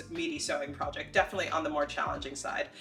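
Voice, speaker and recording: A woman talks with a Philadelphia accent while music plays in the background. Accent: American, Philadelphia area. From US Northeast, Philadelphia area. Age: 30s. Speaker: sewing YouTuber. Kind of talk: tutorial. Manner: casual and chatty.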